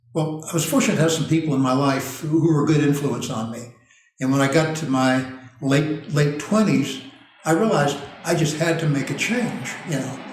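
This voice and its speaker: Over noticeable background noise and audible room echo, a man speaks at a fairly high pitch and a fairly quick pace with ordinary pitch variation. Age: 70s. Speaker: nutritional consultant. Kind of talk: casual chat.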